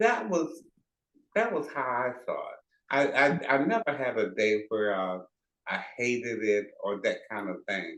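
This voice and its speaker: A man with a Southern US accent, medium pitch, lively intonation and a fairly slow pace. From rural South Georgia, USA. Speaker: retired nurse, enterostomal therapist. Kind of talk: interview answer. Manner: quiet, modest.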